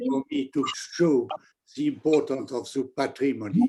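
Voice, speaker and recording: A man's pitch swings very widely. His pace stays moderate. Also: dry, close sound with no echo. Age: 80s+. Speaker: archaeologist. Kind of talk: lecture Q&A. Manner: halting.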